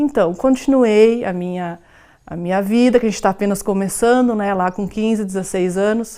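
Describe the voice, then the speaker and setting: A woman's dark, mellow tone with ordinary pitch variation, in a very clean recording over a silent background. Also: medium pitch for a woman, moderate pace. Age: 40s. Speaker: documentary interviewee. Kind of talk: personal testimony. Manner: halting.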